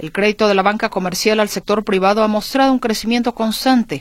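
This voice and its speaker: This woman has a normal speaking voice at a medium pitch. She talks at a fairly quick pace with ordinary pitch variation. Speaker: radio business show host. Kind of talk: news reading.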